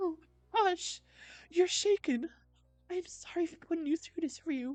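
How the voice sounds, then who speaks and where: A woman puts on a character voice at an extremely high pitch, with music in the background. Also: moderate pace. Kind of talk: grandiose archaic speech. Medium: game stream. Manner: lofty, formal.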